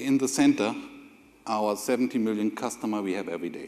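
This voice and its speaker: A man with a German accent at a fairly quick pace, ordinary pitch variation and big swings in loudness. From Germany. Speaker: corporate IT executive. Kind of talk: on-stage interview; conference presentation.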